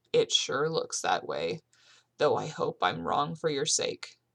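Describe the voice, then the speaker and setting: A woman's raspy, put-on character voice at a fairly slow pace. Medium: read story. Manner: measured, cautious.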